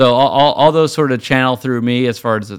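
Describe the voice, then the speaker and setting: This very clean recording with a silent background captures a man speaking with ordinary pitch variation. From Virginia, US. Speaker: wheel designer. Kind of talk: casual interview. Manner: animated.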